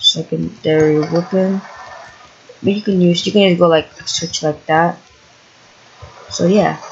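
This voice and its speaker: The speaker talks at a fairly slow pace with long, frequent pauses. Noticeable background noise runs underneath. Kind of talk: casual gameplay commentary.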